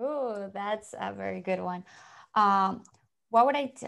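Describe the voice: With vocal fry and a fairly bright tone, a woman speaks at a medium pitch and a fairly slow pace, her pitch varying in an ordinary way, on a very clean recording with a silent background.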